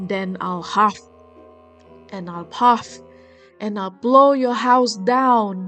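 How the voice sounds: In a growling, put-on character voice at a medium pitch, a woman speaks at a very slow pace with long, frequent pauses while faint music plays in the background.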